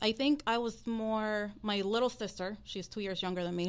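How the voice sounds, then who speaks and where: A Dominican accent at a moderate pace, on a very clean recording with a silent background. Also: woman. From Dominican Republic, then Florida from age ten. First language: Spanish. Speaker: loan originator, mortgage business. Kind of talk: podcast interview.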